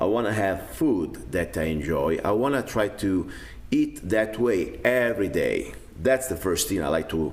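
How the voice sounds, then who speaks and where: In an Italian accent, a man with a very deep, low pitch speaks with very wide pitch swings. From Italy (Rome). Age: 50s. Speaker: self-defense instructor. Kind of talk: video blog monologue. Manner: casual, hesitant with fillers.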